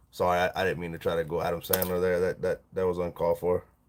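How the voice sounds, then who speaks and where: Talking at a very fast pace, a man with a Southern US accent is heard in a very clean recording with a silent background. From US South. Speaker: livestreamer, fishing lure maker. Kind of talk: casual live stream chat.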